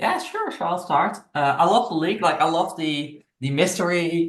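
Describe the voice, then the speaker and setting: In a Dutch accent, a man speaks with a fairly high pitch and fairly even intonation. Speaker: gamer. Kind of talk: casual chat. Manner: halting.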